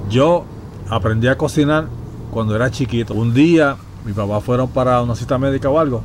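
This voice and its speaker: A man's medium-pitched voice with lively intonation over noticeable background noise. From Puerto Rico, Ponce. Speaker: podcast host. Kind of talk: casual chat.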